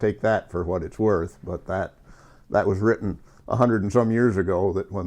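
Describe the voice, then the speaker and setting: The speaker has an upstate New York accent and talks at a fairly quick pace. Pitch variation is ordinary. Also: man. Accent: upstate New York American. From northern New York, Potsdam. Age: 60s. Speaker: local historian interviewee. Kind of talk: oral history interview. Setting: at home. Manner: halting, with repetitions and fillers.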